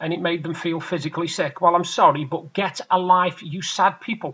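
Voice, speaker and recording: This man has an English accent. He speaks at a moderate pace. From England. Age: 40s. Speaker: vlogger. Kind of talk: casual vlog monologue. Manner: hesitant, many fillers. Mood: opinionated, annoyed at times. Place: home room. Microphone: webcam.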